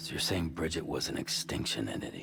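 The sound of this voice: A man puts on a character voice pitched extremely low, with vocal fry, a fairly bright tone, lively intonation and a fairly quick pace.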